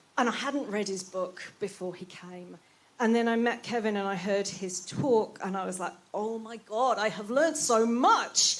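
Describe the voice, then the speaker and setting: A woman with a British accent speaks at a fairly high pitch, with big swings in loudness. Noticeable background noise runs underneath. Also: ordinary pitch variation, moderate pace. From Britain. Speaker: palliative care doctor. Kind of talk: closing speech at event. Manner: hesitant, many fillers.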